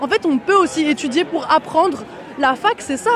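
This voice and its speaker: A woman at a moderate pace with lively intonation, crowd noise behind her. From Paris suburbs (banlieue), France. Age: 20s. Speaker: student protester. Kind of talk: street interview. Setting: outdoors at a street protest march.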